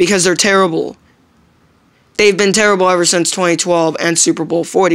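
A woman speaks at a moderate pace, her pitch fairly low and her intonation fairly even. The background is quiet. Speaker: sports fan vlogger. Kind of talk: angry sports rant to camera. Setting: solo video recording. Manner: ranting, indignant, repetitive, stumbling over words; emphatic, complaining. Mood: frustrated, complaining about referees. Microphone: phone near.

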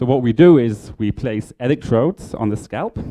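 The background stays quiet. A man's tone is dark and mellow. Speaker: presenter. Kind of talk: lecture. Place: hall.

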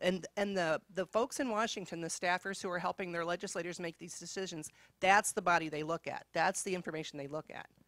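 A woman's normal speaking voice, fairly low in pitch with ordinary pitch variation, at a fairly quick pace with hardly any pauses, in a dry, close sound with no echo. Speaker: university academic. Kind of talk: conference panel talk. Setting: conference room with live audience.

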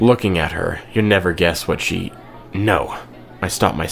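A passage is read aloud. The reading is plain.

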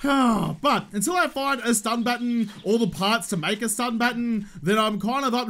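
Pitched high for a man, an Australian-accented male voice runs on with lively intonation and hardly any pauses. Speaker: gaming YouTuber. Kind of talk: casual, slangy, joking. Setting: gaming commentary over gameplay. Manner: fast talker; slightly higher pitch and faster than usual today, anxious. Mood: wry, joking. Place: home room.

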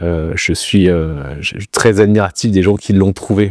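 Very deep, low male pitch, fairly even intonation and a fairly slow pace, in a dry sound with no echo against a quiet background. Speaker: interviewee. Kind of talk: interview answer. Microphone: lapel.

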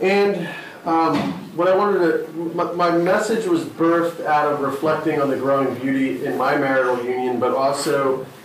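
There is audible room echo and light background noise as a man talks with ordinary pitch variation. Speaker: pastor. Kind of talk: sermon. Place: stage.

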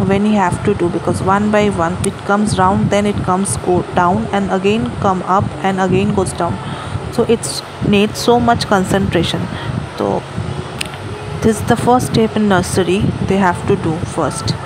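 A woman at a moderate pace with ordinary pitch variation, long, frequent pauses and noticeable background noise. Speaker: parent vlogger. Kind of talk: tutorial. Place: home room. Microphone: phone near.

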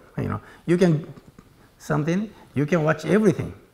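A man's voice is heard. It has a somewhat breathy sound. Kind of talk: interview answer.

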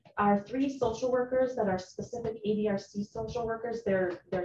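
Amid light background noise and audible room echo, a woman speaks at a moderate pace with ordinary pitch variation. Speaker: presenter. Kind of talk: presentation to committee. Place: meeting room.

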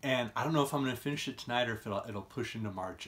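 Here the voice is a man's. Its pitch rises and falls in an ordinary way. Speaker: book vlogger. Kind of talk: casual vlog chat. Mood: cheerful, enthusiastic. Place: home room. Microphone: phone near.

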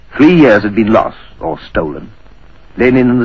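A man speaks in a solemn, dramatic tone at a fairly quick pace. Noticeable background noise is present. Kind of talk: history documentary narration. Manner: solemn, measured, formal, dramatic delivery.

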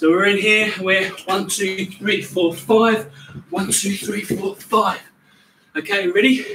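The pace is very slow. Light background noise and audible room echo are present. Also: man. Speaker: fitness coach. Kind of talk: workout instruction. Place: garden. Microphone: camera far.

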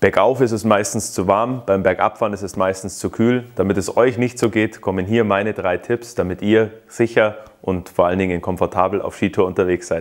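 A plain, everyday voice: a man speaking at a moderate pace with fairly even intonation and a fairly low pitch. The background is quiet. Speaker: ski school instructor. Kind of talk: tutorial. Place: workshop.

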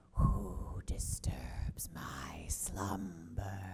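A put-on character voice, growling and very deep, low in pitch. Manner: booming, dramatic, menacing.

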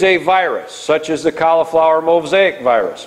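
A man is speaking. He has an Upper Midwest accent. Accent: Upper Midwest American. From northwest Iowa, USA. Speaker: farmer and crop nutrition advisor. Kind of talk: public lecture. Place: meeting room.

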